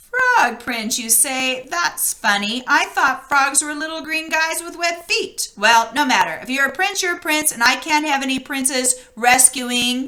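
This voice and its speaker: A female-sounding, croaky put-on character voice at a high pitch. It runs at a moderate pace with hardly any pauses. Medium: read story.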